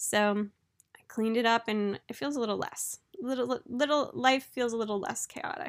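This woman has a normal speaking voice in a fairly high pitch with ordinary pitch variation. She talks at a moderate pace. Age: late 20s. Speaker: podcast host. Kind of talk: casual solo monologue. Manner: chatty, laughing often.

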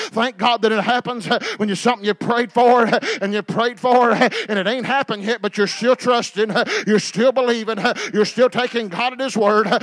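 Dry and close with no echo, the voice carries a warm, animated tone at a moderate pace over noticeable background noise. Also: man, extremely high pitch for a man. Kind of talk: sermon, preacher in full flow. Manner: animated, call-and-response, urging the congregation to say amen; conversational and plain-spoken, warm, with homespun metaphors.

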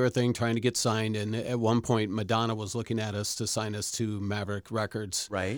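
A man with an American accent speaks in a plain, everyday voice at medium pitch. He goes at a fairly quick pace with hardly any pauses, on a very clean recording with a silent background. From Rockford, Illinois, US Midwest. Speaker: chef and former musician. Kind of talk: casual chat.

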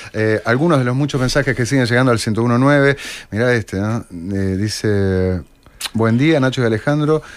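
Using a plain, everyday voice, a man speaks at medium pitch and a moderate pace with ordinary pitch variation. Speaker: radio host. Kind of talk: radio interview.

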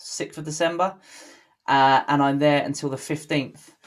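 A man talks at a fairly high pitch with fairly even intonation. The recording is very clean, with a silent background. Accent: British. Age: 30s. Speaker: podcast host. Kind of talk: casual interview.

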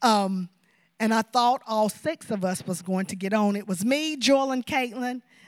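Her pitch is fairly high. The woman's intonation rises and falls in a lively way. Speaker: school vice principal. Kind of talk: testimony. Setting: church.

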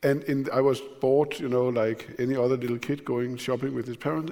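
Pitched in the medium range, a man talks in a Danish accent at a moderate pace with fairly even intonation. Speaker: newspaper editor and moderator. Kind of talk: public conversation. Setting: stage with audience.

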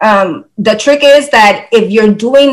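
This woman has a fairly high pitch. She uses a normal speaking voice. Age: 50s. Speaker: fitness enthusiast sharing weight loss journey. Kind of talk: casual interview.

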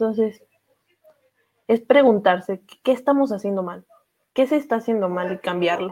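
Using a Mexican accent, a woman talks at a fairly high pitch with long, frequent pauses. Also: ordinary pitch variation, moderate pace. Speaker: podcast host. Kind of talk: casual chat.

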